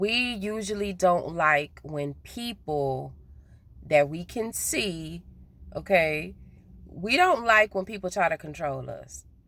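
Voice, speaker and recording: Speech comes at a very slow pace with lively intonation. Loudness rises and falls in big swings. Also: woman, fairly low pitch for a woman. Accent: Southern US. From US South. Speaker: spiritual vlogger. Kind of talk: casual monologue vlog. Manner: naturally slow, trying to speed up; hesitant, repeats words.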